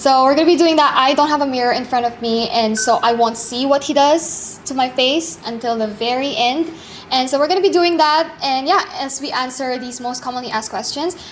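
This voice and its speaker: Noticeable background noise surrounds a woman's voice. She speaks at a fairly quick pace with a high pitch. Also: ordinary pitch variation. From Philippines and Qatar. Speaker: vlogger. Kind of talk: casual chat. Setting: at home.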